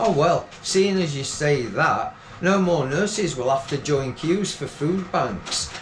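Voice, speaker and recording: A man talks at a very slow pace with a high pitch, ordinary pitch variation, and hardly any pauses. Noticeable background noise and audible room echo accompany him. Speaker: poet. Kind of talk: poetry reading.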